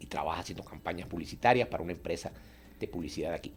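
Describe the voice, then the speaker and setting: The pace is very fast. A man speaks, sounding somewhat breathy. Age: 60s. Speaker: artist and painter. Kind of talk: radio interview.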